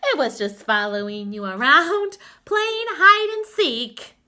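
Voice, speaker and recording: In a put-on character voice with a confident tone, the speaker goes at a fairly slow pace with very wide pitch swings and big swings in loudness. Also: woman, high pitch for a woman. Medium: read story. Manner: kind, confident.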